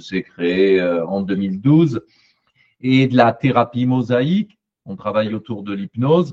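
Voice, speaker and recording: A man's voice comes through dry and close, with no echo, at a medium pitch. He moves at a fairly slow pace with ordinary pitch variation. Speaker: psychologist and therapy trainer. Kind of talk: panel discussion.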